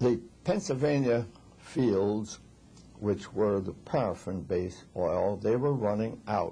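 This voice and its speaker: A man speaks very slowly in a dark, mellow, somewhat breathy tone. His pitch is fairly low, with ordinary variation. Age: 80s+. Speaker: refrigeration engineer. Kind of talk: interview answer.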